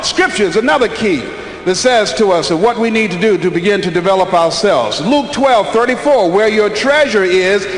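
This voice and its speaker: Noticeable background noise sits behind a man with a high pitch. He talks with lively intonation and hardly any pauses. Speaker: motivational speaker. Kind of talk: motivational speech to an audience.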